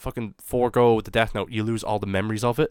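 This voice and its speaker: A man's medium-pitched voice at a fairly quick pace, with a dry, close sound and no echo. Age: 20s. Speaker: podcast host. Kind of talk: casual chat.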